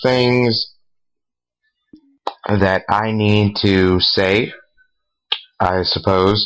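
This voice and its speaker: Soft-spoken, a man talks with a fairly low pitch. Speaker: YouTuber, gaming commentator. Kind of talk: recorded commentary, rant.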